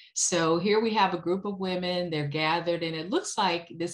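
A woman with an American accent talks against a quiet background. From US Midwest. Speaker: historian. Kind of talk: lecture. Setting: video call. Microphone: video call.

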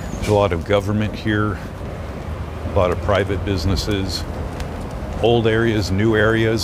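The sound is dry, with no echo, though noticeable background noise comes through. The man keeps a moderate pace. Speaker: walking tour live streamer. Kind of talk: commentary. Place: street. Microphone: phone near.

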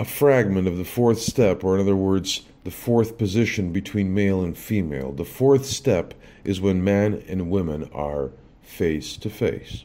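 A man with a very deep, low pitch and a dark, mellow tone speaks at a fairly slow pace. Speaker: spiritual teacher. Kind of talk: lecture. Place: home room.

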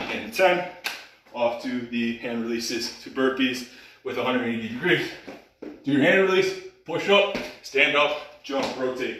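A man speaks at a moderate pace with lively intonation and long, frequent pauses. Light background noise and audible room echo are present. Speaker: fitness coach. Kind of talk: workout instruction and counting. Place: hall. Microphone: camera far.

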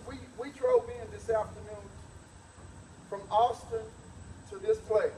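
In a room with audible echo and light background noise, a man speaks at a moderate pace in an animated tone. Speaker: preacher. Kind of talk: sermon to a live church congregation. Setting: church. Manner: animated, call-and-response, pauses for amens; exhortative, laughs and jokes with the congregation. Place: hall. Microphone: camera far.

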